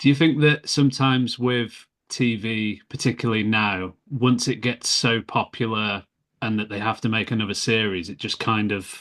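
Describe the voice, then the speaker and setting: Speaking with a Brummie accent against a quiet background, a man holds a moderate pace at medium pitch with ordinary pitch variation. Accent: Brummie, on some words. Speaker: podcast host. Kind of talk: casual interview chat; scripted intro narration. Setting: video call.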